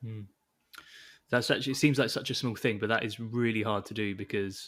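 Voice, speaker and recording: In an English accent, a medium-pitched man speaks at a fairly quick pace with fairly even intonation. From England. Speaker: podcast host. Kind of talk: interview.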